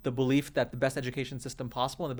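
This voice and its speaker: A man with an American accent, medium pitch and a very fast pace. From India, then Singapore, then US. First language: Indian mother tongue. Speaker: startup founder and CEO. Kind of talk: interview conversation.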